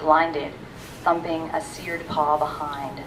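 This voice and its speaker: A woman speaks fairly slowly in a fairly low voice. Noticeable background noise and audible room echo surround her. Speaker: university staff member reading own poems. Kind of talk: poetry reading. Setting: library reading with audience. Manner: soft-spoken.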